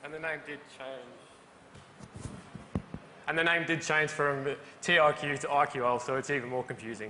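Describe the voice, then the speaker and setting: Against noticeable background noise and audible room echo, a man with a fairly high pitch and an Australian accent talks at a moderate pace with fairly even intonation. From Australia, Melbourne. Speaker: BIM manager. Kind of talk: conference presentation.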